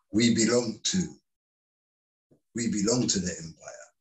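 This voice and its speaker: The voice is somewhat breathy, moving at a moderate pace. Its intonation is lively. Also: man. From London, England (Caribbean heritage). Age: 60s. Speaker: community activist and parent. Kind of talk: interview.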